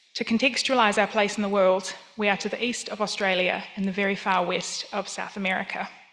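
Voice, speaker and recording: A woman of medium pitch talks at a fairly quick pace with hardly any pauses. Her intonation is monotone and flat, with noticeable background noise behind her. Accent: New Zealand. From New Zealand. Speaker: museum professional. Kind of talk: conference talk. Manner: formal.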